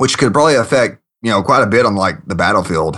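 A man's bright, sharp voice at a medium pitch, with ordinary pitch variation. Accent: Southern US. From Kentucky, US South. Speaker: software programmer, podcast guest. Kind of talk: casual chat.

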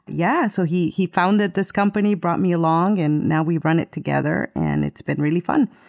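Spoken at a moderate pace with a Spanish accent and ordinary pitch variation, this very clean recording has a silent background and a dry, close sound with no echo. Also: woman. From Latin America, moved to US in seventh grade. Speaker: voiceover artist and podcaster. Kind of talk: casual chat. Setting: live stream.

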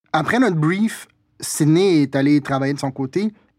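Fairly high pitch and ordinary pitch variation in a man's normal speaking voice. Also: very clean recording, silent background. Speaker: podcast host and brand strategist. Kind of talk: casual chat. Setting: studio.

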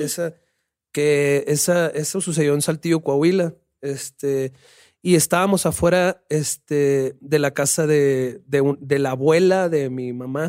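A man with a plain, everyday voice speaks fairly slowly at a fairly high pitch, with ordinary pitch variation. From Sonora, northern Mexico. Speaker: rapper and musician. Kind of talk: casual chat.

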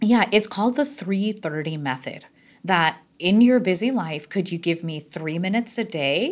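On a very clean recording with a silent background, a woman speaks at a medium pitch. Her intonation is lively and her pace moderate. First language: not English. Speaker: neurologist and wellness expert. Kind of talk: interview.

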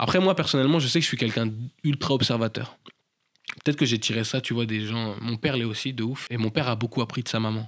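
Ordinary pitch variation runs through the speech. The delivery is very fast. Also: man, medium pitch for a man. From France, Paris suburbs and rural Normandy. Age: 20s. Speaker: professional dancer. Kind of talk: interview, casual chat. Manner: casual with filler words, slang.

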